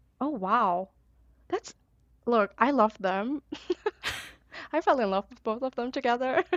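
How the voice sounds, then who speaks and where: A woman with a high pitch speaks in an animated tone with lively intonation at a fairly slow pace, with long, frequent pauses and big swings in loudness, the sound dry and close with no echo. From Brazil. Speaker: podcast guest, drama reviewer. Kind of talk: casual chat.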